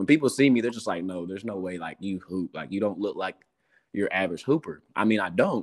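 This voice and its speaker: A man with an East Tennessee accent, fairly low in pitch, talking at a very fast pace with ordinary pitch variation. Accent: East Tennessee Southern American. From US South, Morristown, Tennessee. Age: 20s. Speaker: professional basketball player. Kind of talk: interview, casual chat.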